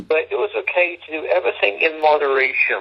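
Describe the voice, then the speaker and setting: A man speaks against noticeable background noise. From England. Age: 50s. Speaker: homeless shelter director. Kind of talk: interview.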